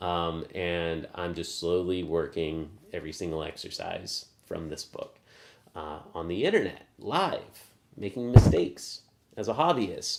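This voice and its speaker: A man with a very deep, low voice and a slight Southern US accent speaks at a fairly slow pace, with ordinary pitch variation and big swings in loudness. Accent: slight Southern drawl. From US South. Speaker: math practice streamer. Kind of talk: live stream casual teaching. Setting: live stream. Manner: slow, drawling; filler-heavy, halting.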